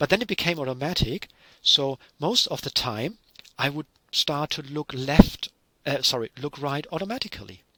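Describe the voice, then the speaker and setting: With a German accent, a man talks at a moderate pace in a fairly high pitch, his bright, sharp tone and lively intonation captured in a dry, close sound with no echo. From Germany. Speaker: university lecturer. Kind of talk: lecture.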